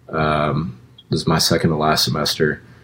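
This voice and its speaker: A man with an American accent. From Austin, Texas. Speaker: musician and college student. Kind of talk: casual interview. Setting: outdoors.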